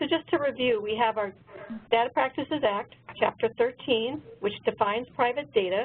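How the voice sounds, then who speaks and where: A woman talks at a fairly quick pace. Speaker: government trainer. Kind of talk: webinar lecture. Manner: fast.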